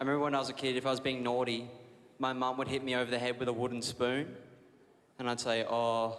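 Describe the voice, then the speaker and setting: A man with an Australian accent talks very fast in a flat monotone, with audible room echo and noticeable background noise. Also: medium pitch for a man, very even loudness. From Australia, Brisbane, Queensland. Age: 20s. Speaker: comedian. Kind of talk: stand-up. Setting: stage with audience.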